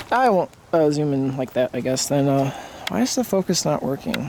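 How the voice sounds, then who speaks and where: With noticeable background noise behind him, a man with an American accent speaks at a moderate pace and a fairly high pitch. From United States. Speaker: hobbyist vlogger. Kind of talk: casual vlog. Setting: outdoors. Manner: hesitant, many fillers.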